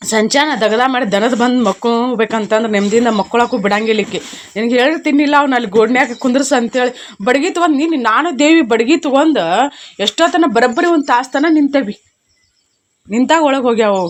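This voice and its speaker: Animated and high-pitched, a woman speaks with ordinary pitch variation and very even loudness. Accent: North Karnataka. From North Karnataka, Belagavi district. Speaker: village farmer and vlogger. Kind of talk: casual vlog talk to camera.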